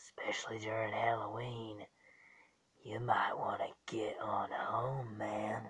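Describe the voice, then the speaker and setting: A man at a medium pitch, speaking at a fairly slow pace. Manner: casual, then irritated.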